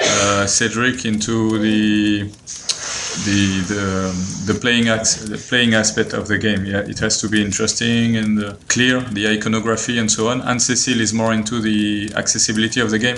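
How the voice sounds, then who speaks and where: A man with a French accent speaks in a fairly low pitch. His intonation is monotone and flat, with noticeable background noise behind him. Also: moderate pace. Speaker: board game designer. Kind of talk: interview answer. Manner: hesitant, many fillers.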